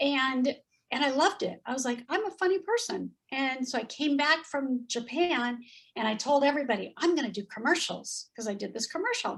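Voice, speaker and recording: A woman with a Californian accent speaks at a high pitch and a fairly quick pace, with lively intonation. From Southern California. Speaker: former model and actress. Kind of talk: interview storytelling. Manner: animated.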